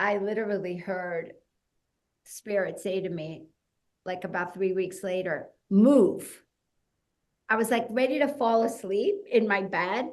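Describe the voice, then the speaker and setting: Speaking with an American accent, a woman at medium pitch talks at a fairly slow pace with ordinary pitch variation and long, frequent pauses, with audible room echo. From US Northeast (New Jersey). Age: 60s. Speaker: fitness entrepreneur. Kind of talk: podcast interview. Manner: conversational, many fillers.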